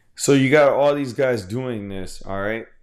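A man at a moderate pace, in an American accent, with lively intonation. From Houston, Texas. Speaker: comics podcast host. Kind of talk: casual solo commentary. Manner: halting, many repetitions and fillers.

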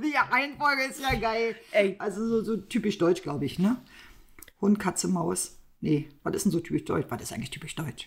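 Speaking at a moderate pace, a woman with a medium pitch and vocal fry makes very wide pitch swings. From East Germany. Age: middle-aged. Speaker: podcast co-host. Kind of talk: casual chat.

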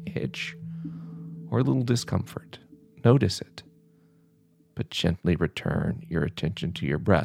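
Backed by music in the background, a man speaks in a calm, soothing tone. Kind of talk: guided contemplative prayer meditation, gently instructing breath awareness. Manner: slow, calm and soothing with long pauses; gentle, reassuring and permissive tone.

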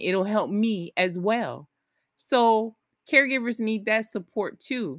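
A woman with a normal speaking voice talks at a fairly slow pace, her fairly high pitch carried by lively intonation. The very clean recording has a silent background and a dry, close sound with no echo. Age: 40s. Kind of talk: solo podcast monologue. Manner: conversational, with fillers and restarts.

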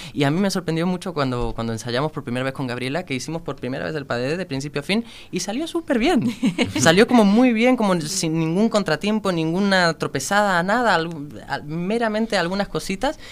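Speaking at a fairly quick pace, a man uses lively intonation and a high pitch. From Andalusia, Spain (Málaga). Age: 20s. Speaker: ballet dancer. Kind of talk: interview.

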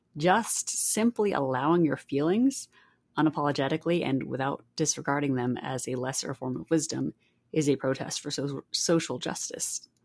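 A woman speaks at a moderate pace in a very deep, low pitch, with ordinary pitch variation. The sound is dry and close, with no echo. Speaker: podcast host. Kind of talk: solo podcast monologue.

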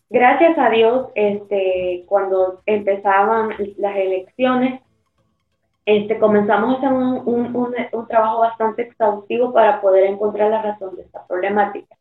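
With music in the background, a woman speaks fairly slowly at a fairly high pitch, her intonation fairly even and her loudness swinging widely. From El Salvador. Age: 30s. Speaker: mayor. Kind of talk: interview.

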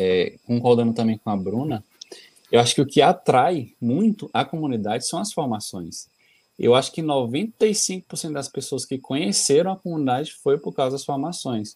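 Speaking at a fairly slow pace, a man with a medium-pitched voice makes very wide pitch swings. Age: 30s. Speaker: community postulant. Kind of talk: testimony.

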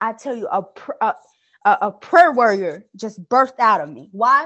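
With an ordinary speaking voice, a woman speaks fairly slowly at a fairly high pitch. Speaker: guest co-host. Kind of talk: casual religious discussion.

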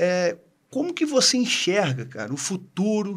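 The speaker is a man with lively intonation. He talks at a fairly slow pace. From Brazil (small town). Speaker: dentist, co-host. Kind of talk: casual chat.

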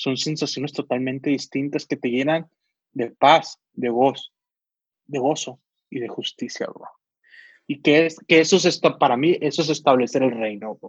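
A man talks in a normal speaking voice, fairly high in pitch, at a moderate pace. The sound is dry and close with no echo, and his pitch varies in an ordinary way. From Sonora, northern Mexico. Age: 20s. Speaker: volunteer helping homeless people. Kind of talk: casual chat.

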